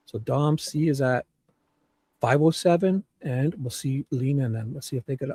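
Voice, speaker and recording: A man's somewhat breathy, medium-pitched voice, dark and mellow in tone, with ordinary pitch variation at a moderate pace and a dry, close sound with no echo. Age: 50s. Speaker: live stream panelist. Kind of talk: casual chat. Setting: live stream without camera. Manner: animated.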